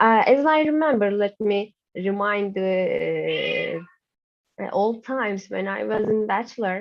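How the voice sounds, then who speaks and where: A woman talks at a very slow pace with a medium pitch and ordinary pitch variation. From Turkey. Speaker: university lecturer. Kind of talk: lecture. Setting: video call. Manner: halting.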